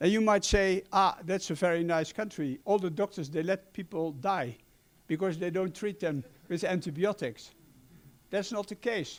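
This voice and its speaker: On a very clean recording with a silent background, a man with a high pitch speaks at a moderate pace with ordinary pitch variation. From Netherlands. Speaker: medical doctor. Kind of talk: conference presentation.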